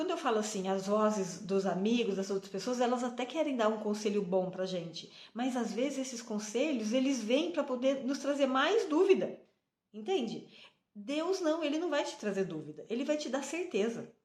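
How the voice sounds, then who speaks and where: At a moderate pace, a woman talks in a fairly high pitch that swings very widely. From Brazil. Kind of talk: devotional talk to camera. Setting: on a train.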